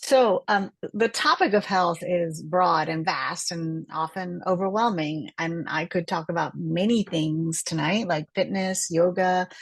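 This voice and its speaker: A woman talks at a fairly slow pace with hardly any pauses, in an ordinary speaking voice. Her pitch is fairly low, with ordinary pitch variation. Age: 60s. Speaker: cell biologist. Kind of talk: health lecture. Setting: online group call with screen share.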